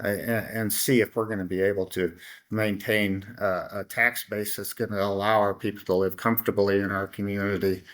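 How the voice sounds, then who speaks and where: A man with a Midwestern American accent and a fairly low pitch speaks at a moderate pace in a monotone, flat intonation on a very clean recording with a silent background. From Iowa, Council Bluffs. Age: 60s. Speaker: city council member. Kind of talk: interview conversation. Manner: halting.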